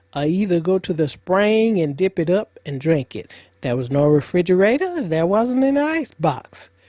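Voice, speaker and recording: In an Alabama accent, this voice has a dark, mellow tone, a fairly slow pace and very wide pitch swings. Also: woman. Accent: Southern US (Alabama). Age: 70s. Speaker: retired cotton farm elder. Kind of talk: interview storytelling.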